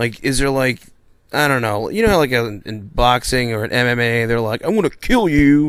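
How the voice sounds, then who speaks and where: The man talks in an ordinary speaking voice at a moderate pace and medium pitch. The recording is very clean, with a silent background. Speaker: radio interviewer. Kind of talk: radio interview questions.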